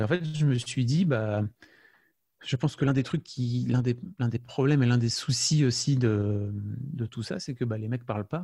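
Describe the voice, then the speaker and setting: A man talks at a fairly slow pace and medium pitch, somewhat breathy, with a dark, mellow tone. His pitch varies in an ordinary way, and the recording is very clean with a silent background. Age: 40s. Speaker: podcaster and father. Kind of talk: interview. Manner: halting, with many fillers and repetitions.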